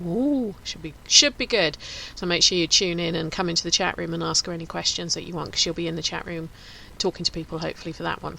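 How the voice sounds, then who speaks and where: A woman speaks very fast with a Home Counties accent. Her pitch is fairly low, with ordinary variation. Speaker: radio host. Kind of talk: casual chat.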